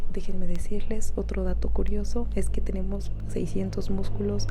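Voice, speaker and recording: The speaker is soft-spoken and talks at a moderate pace, with noticeable background noise behind. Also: woman. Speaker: medical student. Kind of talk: soft-spoken ASMR talk to camera.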